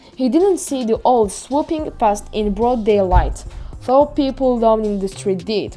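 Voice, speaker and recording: A woman at a fairly high pitch and moderate pace, lively intonation, music in the background. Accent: French. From France. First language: French. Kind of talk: audiobook reading. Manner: reading aloud in a second language.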